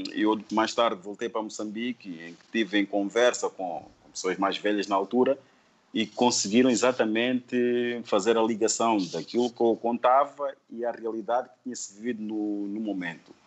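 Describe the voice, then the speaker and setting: In a normal speaking voice, a man talks at a medium pitch and moderate pace, with fairly even intonation and big swings in loudness. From Mozambique, Sofala (Buzi). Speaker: painter. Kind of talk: interview.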